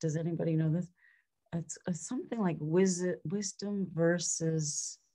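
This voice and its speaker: Somewhat breathy and dark, mellow in tone, the voice moves at a fairly slow pace with long, frequent pauses and fairly even intonation on a very clean recording with a silent background. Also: woman. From Quebec, Montreal. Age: 70s. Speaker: life coach. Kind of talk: casual interview. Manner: halting, many fillers and repeats.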